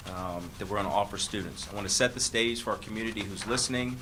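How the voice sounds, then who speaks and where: Fairly even intonation is heard through audible room echo and noticeable background noise. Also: man. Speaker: school district administrator. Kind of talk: board meeting presentation. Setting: public board meeting. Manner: fast; hesitant, many fillers.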